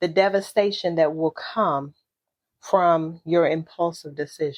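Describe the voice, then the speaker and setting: The woman's fairly slow speech comes through over a quiet background. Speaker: podcast host. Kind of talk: motivational talk.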